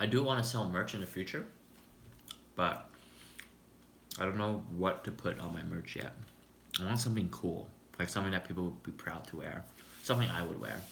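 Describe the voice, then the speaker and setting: A man with a very deep, low voice speaks at a fairly quick pace in a relaxed tone, with ordinary pitch variation, long and frequent pauses, and audible room echo. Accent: Canadian. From Canada. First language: Cantonese. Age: 20s. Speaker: YouTuber, software engineer. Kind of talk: casual live stream chat. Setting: live stream while eating lunch. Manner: relaxed, chill.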